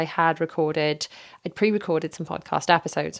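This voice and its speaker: A woman with a British accent, fairly low pitch, very fast pace and fairly even intonation, in a dry, close sound with no echo. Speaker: parenting podcaster. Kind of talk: casual podcast monologue. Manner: hesitant, many fillers.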